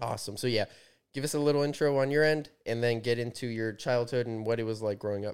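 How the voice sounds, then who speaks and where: The man's pace is very fast. He holds a medium pitch with fairly even intonation. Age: 30s. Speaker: podcast host and personal trainer. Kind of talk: casual interview.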